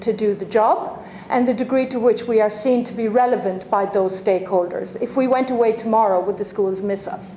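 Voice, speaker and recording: Speaking with an Irish accent, a woman uses a fairly high pitch, ordinary pitch variation and a moderate pace, with audible room echo and noticeable background noise. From Ireland, Limerick. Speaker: university dean, lecturer. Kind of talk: lecture. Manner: halting, many fillers.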